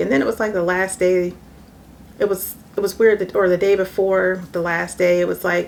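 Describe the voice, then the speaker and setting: Soft-spoken and fairly low in pitch, a woman talks at a fairly quick pace in a monotone, flat intonation. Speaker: vlogger, mother. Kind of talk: casual vlog monologue.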